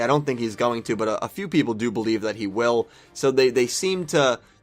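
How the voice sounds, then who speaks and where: The intonation is lively. Music can be heard behind the voice. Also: man. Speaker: anime commentator. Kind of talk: casual talk to camera.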